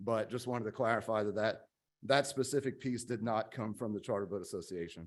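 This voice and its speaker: On a very clean recording with a silent background, a man talks fairly quickly at medium pitch with fairly even intonation. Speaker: charter fishing association representative. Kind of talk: public testimony. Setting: commission meeting. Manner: fast.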